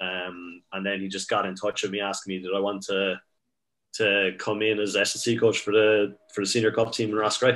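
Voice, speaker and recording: A man speaks at a moderate pace with an Irish accent. His fairly low voice stays monotone and flat. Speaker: strength and conditioning coach. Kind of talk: casual chat.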